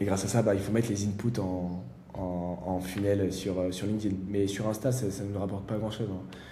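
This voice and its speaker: A man with a fairly low pitch and a dark, mellow tone speaks somewhat breathily with fairly even intonation, and the room echo is audible. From France, Valence near Lyon. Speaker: startup founder. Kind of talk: interview. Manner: fast; halting, many fillers.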